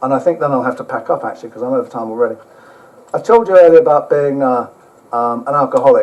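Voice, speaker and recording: Talking very fast with an English accent, a man is heard over noticeable background noise. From England. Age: old. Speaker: motorcycle traveller and author giving a talk. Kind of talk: travel talk with slides; reading aloud from own book. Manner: casual, hesitant with fillers.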